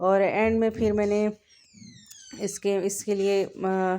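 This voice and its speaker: A very slow, monotone delivery with flat intonation and a dark, mellow tone. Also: woman. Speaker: cooking vlogger. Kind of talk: cooking narration. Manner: casual, hesitant.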